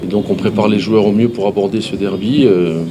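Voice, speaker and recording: A man's fairly low voice at a fairly quick pace and with fairly even intonation, amid noticeable background noise and audible room echo. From Corsica. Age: 60s. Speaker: football coach. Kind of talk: press conference. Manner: halting, frequent hesitations.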